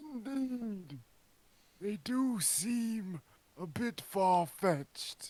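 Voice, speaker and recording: A man's high-pitched, put-on character voice at a very slow pace, with long, frequent pauses. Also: lively intonation. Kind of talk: comic overacting. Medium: game stream. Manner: pompous, slightly confused.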